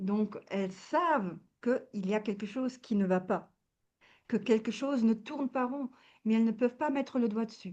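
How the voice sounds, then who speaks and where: Her voice sits fairly high, with ordinary pitch variation, as this woman goes along at a moderate pace. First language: not French (speaking French). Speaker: wellness coach. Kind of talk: interview. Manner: halting, many hesitations.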